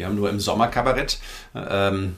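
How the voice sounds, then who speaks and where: A man talks at a fairly quick pace and fairly low pitch in a normal speaking voice. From Frankfurt am Main, Hesse. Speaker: cabaret artist and author. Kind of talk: casual interview chat.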